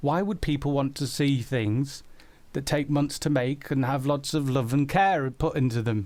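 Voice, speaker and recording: This man speaks with a Yorkshire accent. His pitch is fairly high and his pace moderate. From South Yorkshire, England (Doncaster). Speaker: animator and musician answering viewer questions. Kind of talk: live stream Q&A chat.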